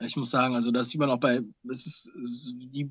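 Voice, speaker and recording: A plain, everyday voice from a man, medium in pitch and at a fairly quick pace. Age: 30s. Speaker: film producer and YouTuber. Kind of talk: casual interview.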